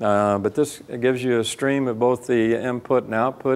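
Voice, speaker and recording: A man's fairly slow speech keeps to a medium pitch, with intonation that stays fairly even. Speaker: amateur radio presenter. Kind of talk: conference talk. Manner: many filler words, halting.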